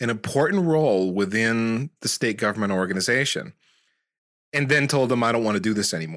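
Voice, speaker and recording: In a very clean recording with a silent background, a man with a plain, everyday voice speaks at a medium pitch with lively intonation. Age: 40s. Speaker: tech podcast host, network engineer. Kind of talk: casual chat.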